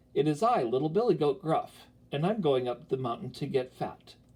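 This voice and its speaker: Moderate pace in a put-on character voice. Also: man, fairly high pitch for a man. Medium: read story.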